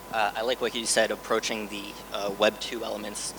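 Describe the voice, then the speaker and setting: A man with a New York accent, fairly low in pitch and fairly quick, over noticeable background noise. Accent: American, New York. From New York, US. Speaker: hedge fund co-founder. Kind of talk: conference panel talk. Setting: stage with audience.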